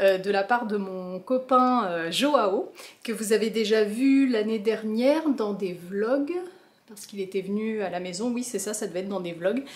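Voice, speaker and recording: A woman's fairly high voice at a fairly slow pace, with ordinary pitch variation, big swings in loudness, and noticeable background noise. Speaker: plant vlogger. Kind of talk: casual vlog. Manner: animated.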